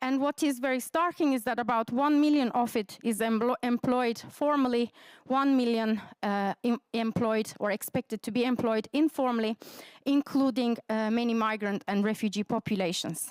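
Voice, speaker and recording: Recorded very cleanly against a silent background, with a dry, close sound and no echo, a woman with a Turkish accent speaks at a high pitch and a moderate pace, with ordinary pitch variation and very even loudness. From Turkey. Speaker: academic researcher. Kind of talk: conference presentation.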